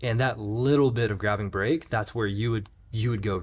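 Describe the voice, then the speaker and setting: A man speaks at a fairly quick pace with a fairly low pitch. His intonation stays fairly even, and his voice is somewhat breathy. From Jacksonville, Florida. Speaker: podcast host, mountain bike coach. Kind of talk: casual interview.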